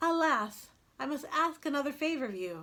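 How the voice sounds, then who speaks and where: On a very clean recording with a silent background, a woman uses a put-on character voice at a high pitch and moderate pace. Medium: read story. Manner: timid.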